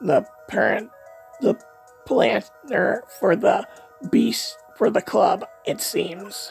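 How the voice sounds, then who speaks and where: Over clear music in the background, a man does a raspy, put-on character voice in a high pitch, going at a very slow pace with long, frequent pauses. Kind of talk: comic overacting. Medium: fan dub. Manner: pompous, sneering.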